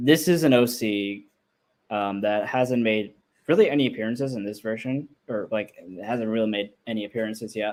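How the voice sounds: Over a quiet background, a natural reading voice with pitch that varies in an ordinary way.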